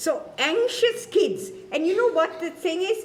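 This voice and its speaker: A woman speaks with an extremely high pitch. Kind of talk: talk to an audience. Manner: animated.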